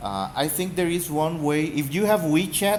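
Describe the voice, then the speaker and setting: In a room with audible echo, a man with a Spanish accent speaks at a fairly slow pace. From Mexico. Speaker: gaming YouTuber. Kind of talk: casual rant. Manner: halting.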